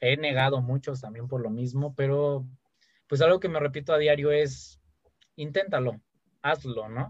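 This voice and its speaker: A man with a fairly high, somewhat breathy voice talks at a fairly slow pace with fairly even intonation and long, frequent pauses. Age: 20s. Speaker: podcast host. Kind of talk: casual chat.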